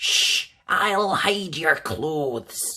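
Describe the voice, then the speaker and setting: The speaker uses a put-on character voice. It sits at a middle pitch. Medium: read story. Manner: mewing, sly.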